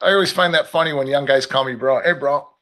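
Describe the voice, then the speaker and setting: Animated male speech at a fairly quick pace with ordinary pitch variation. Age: 50s. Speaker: futures trader, market commentator. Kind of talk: live stream casual chat. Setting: live stream at trading desk with multiple screens.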